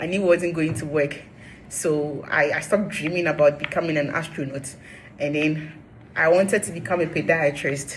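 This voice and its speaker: A woman with an animated tone speaks at a moderate pace and fairly low pitch over noticeable background noise. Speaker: vlogger. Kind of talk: personal vlog storytelling. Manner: loud.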